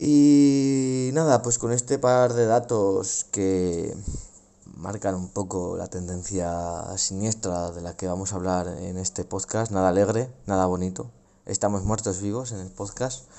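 A man talks at a fairly slow pace with a fairly low pitch and ordinary pitch variation. His loudness swings widely. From Spain, Logroño (La Rioja). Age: 20s. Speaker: podcast host. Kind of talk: casual solo monologue. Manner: hesitant, many fillers.

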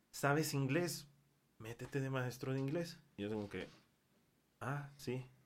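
In an ordinary speaking voice, a man talks at a moderate pace. His pitch varies in an ordinary way. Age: 20s. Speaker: English teacher. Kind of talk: casual chat.

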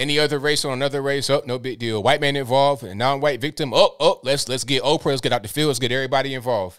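A man speaks at a fast pace with a medium pitch. His tone is fairly bright, with ordinary pitch variation.

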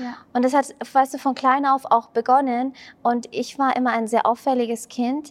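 A woman talks with high pitch at a moderate pace. Her intonation is monotone and flat. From Germany. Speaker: spiritual coach and mentor. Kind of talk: podcast interview.

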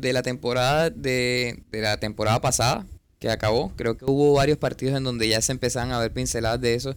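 The recording is very clean, with a silent background. A man speaks at a medium pitch with ordinary pitch variation. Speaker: podcast co-host, football fan. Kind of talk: casual chat. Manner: halting, repeats words.

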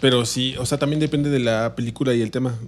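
A man's fairly even intonation carries over noticeable background noise. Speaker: podcast co-host. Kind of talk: casual chat.

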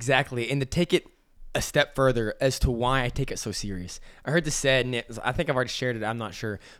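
An animated man with an American accent speaks at a medium pitch. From Texas, Amarillo. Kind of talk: casual faith discussion. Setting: studio table with wife.

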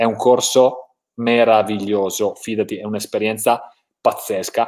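Speaking at a fairly slow pace, a man talks in a strong Italian accent. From Italy. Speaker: motivational coach and live show host. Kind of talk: live stream interview. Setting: online live stream. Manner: enthusiastic.

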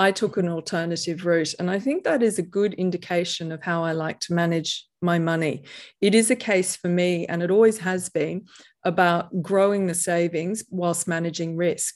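A woman with an Australian accent speaks at a moderate pace, her pitch fairly low. Her intonation stays fairly even over a quiet background. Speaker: private investor and author. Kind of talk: interview conversation.

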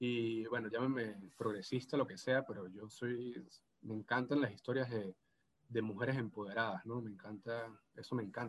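This man talks at a moderate pace with a medium pitch and fairly even intonation, in a Venezuelan Andean accent. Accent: Venezuelan Andean (gocho). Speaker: postdoctoral researcher. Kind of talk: casual interview. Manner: halting, many repetitions and fillers.

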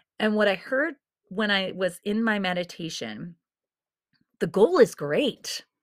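A woman's animated, medium-pitched voice at a fairly slow pace, with lively intonation and long, frequent pauses, on a very clean recording with a silent background. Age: 40s. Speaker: podcast host. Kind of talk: motivational monologue.

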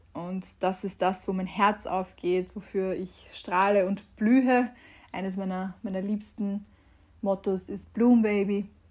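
A woman speaks at a very slow pace, somewhat breathy. Her intonation is monotone and flat. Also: medium pitch for a woman. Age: 20s. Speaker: podcast host and mental coach. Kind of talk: casual monologue. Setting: home, conservatory.

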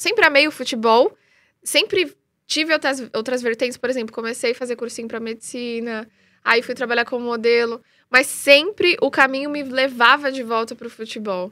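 High-pitched female voice with a bright, sharp tone, big swings in loudness, and a moderate pace, on a very clean recording with a silent background. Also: ordinary pitch variation. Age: 30s. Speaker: freestyle football influencer. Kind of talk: live interview. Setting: live stream.

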